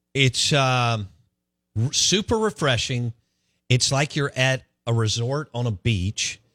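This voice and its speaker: On a very clean recording with a silent background and a dry, close sound with no echo, a bright, sharp voice moves very slowly with long, frequent pauses and ordinary pitch variation. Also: man, medium pitch for a man. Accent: Southern US. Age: 40s. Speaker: sports radio host. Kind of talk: casual chat. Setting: studio.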